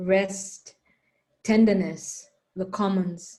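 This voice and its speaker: A woman's somewhat breathy, dark, mellow voice at a medium pitch, very slow in pace, with audible room echo. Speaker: panel moderator. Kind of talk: moderated panel discussion.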